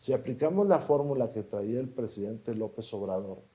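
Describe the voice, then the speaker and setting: A man's somewhat breathy, dark, mellow voice at a medium pitch and a moderate pace. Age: 60s. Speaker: politician. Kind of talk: interview.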